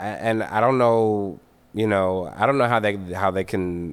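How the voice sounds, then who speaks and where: Fairly low-pitched man with an American accent, ordinary pitch variation and a fairly slow pace, on a very clean recording with a silent background. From Delaware, US. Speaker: musician. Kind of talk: casual chat. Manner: halting.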